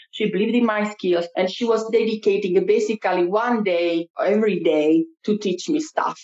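Someone with an Italian accent speaks at a moderate pace and very even loudness, with hardly any pauses and ordinary pitch variation. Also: woman, medium pitch for a woman. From Italy. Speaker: cultural mediator. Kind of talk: interview. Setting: studio. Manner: talkative.

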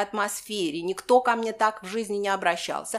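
A woman speaks at a moderate pace with a medium pitch and ordinary pitch variation. Noticeable background noise is present. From Moscow, Russia. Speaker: historian. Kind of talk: personal memoir interview.

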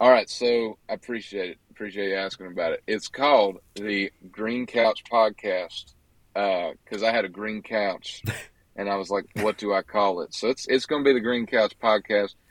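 A man with a Southern US accent, fairly low pitch, fairly even intonation and a moderate pace, in a dry, close sound with no echo. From US South, western Georgia. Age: 20s. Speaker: country singer-songwriter. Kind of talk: casual interview. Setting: outdoors at a social gathering, remote call.

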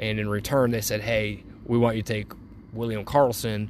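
A man with an American accent and monotone, flat intonation. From US Midwest, Cleveland, Ohio. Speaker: podcast host. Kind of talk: casual sports talk monologue. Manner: halting, with pauses.

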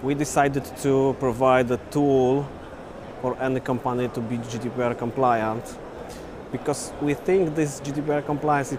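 With noticeable background noise behind him, a man speaks at a fairly slow pace with fairly even intonation. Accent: Polish. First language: Polish. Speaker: startup founder.

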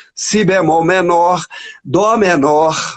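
A man's voice, high in pitch. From Brazil, Minas Gerais. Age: 60s. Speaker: saxophonist and lyricist. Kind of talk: casual interview. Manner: halting, repeats words.

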